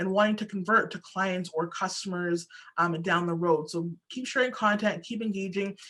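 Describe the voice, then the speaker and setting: A woman with a bright, sharp tone. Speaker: social media marketing speaker. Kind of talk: webinar presentation. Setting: online webinar. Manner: fast.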